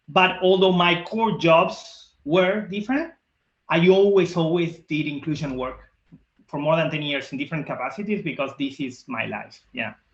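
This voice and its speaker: A man with a strong Argentine accent speaks in a high pitch. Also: ordinary pitch variation, moderate pace. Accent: thick Argentine Spanish. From Argentina. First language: Spanish. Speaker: diversity and inclusion leader. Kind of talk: interview.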